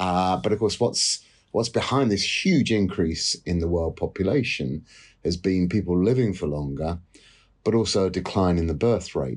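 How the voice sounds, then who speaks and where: With a British accent, a man speaks in a very deep, low pitch at a moderate pace. His pitch varies in an ordinary way against a quiet background. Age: 50s. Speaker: economics professor. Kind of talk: interview.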